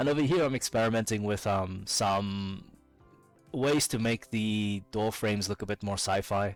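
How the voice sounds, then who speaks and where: Over music in the background, a man speaks at a moderate pace with a fairly low pitch, ordinary pitch variation and very even loudness. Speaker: indie game developer. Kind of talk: casual devlog narration over gameplay. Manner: hesitant, many filler words.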